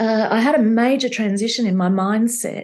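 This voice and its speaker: Talking at a moderate pace with an Australian accent, a woman shows ordinary pitch variation. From Australia (Victoria). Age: 60s. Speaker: entrepreneur, company founder. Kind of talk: interview conversation.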